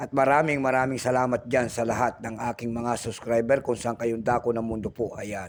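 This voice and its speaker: Noticeable background noise accompanies a man of medium pitch who speaks at a fairly quick pace, with fairly even intonation and hardly any pauses. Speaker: coin collector vlogger. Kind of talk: casual vlog. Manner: repetitive filler-heavy delivery.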